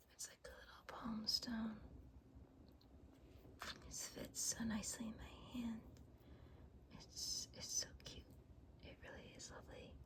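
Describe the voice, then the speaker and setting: Whispering at a fairly slow pace, broken by long, frequent pauses. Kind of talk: ASMR unboxing. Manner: soft-spoken, whispered.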